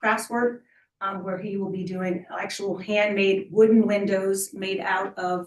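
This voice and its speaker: A woman's ordinary speaking voice at medium pitch and a fairly slow pace. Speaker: applicant at a city review board. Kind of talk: public hearing presentation. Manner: formal.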